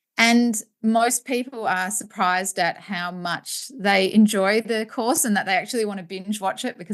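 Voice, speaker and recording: The background stays quiet. She speaks in an Australian accent. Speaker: postpartum educator and business owner. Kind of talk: interview. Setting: podcast. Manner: fast.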